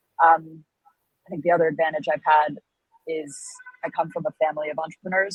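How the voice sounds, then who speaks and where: With an American accent, a woman talks at a fairly quick pace in a very deep, low pitch, the sound dry and close with no echo. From United States. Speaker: startup founder and CEO. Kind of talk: interview. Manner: loud and outgoing.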